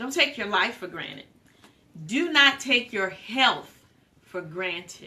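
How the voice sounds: A woman speaks slowly at a medium pitch with lively intonation. Her tone is bright and sharp.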